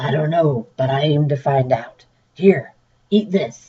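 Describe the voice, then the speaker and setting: Putting on a character voice, a woman speaks fairly slowly with a very deep, low pitch that sounds raspy and gruff. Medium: read story.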